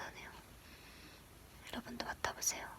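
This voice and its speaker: A whispering woman over noticeable background noise. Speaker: ASMR creator. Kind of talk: casual chatty talk to camera. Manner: soft, whispery, chatty.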